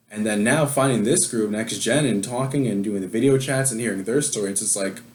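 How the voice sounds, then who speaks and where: American accent at a fairly quick pace, ordinary pitch variation, audible room echo. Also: man. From New York. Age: 20s. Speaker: adoptee sharing his story. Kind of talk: casual interview chat. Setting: video call.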